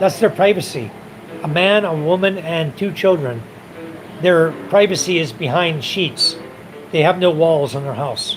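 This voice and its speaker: Over noticeable background noise, a high-pitched man with an American accent speaks at a fairly slow pace, with ordinary pitch variation and long, frequent pauses. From US, California. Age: 60s. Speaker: expat livestreamer. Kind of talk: casual livestream chat.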